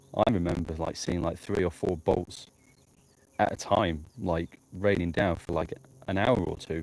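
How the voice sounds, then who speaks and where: A man with a northern English accent, very deep and low in pitch, at a fairly slow pace with fairly even intonation. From northern England, Blackpool. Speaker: amateur storm chaser livestreamer. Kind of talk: live outdoor commentary. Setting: outdoors in the countryside. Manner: casual, hesitant with fillers.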